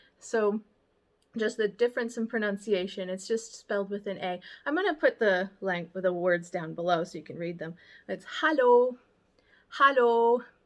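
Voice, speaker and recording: The speaker is a woman with an American accent. Her pitch sits in the medium range. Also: quiet background. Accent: American accent when speaking German. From United States. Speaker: vlogger and baker. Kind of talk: casual language tutorial vlog. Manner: casual with frequent fillers.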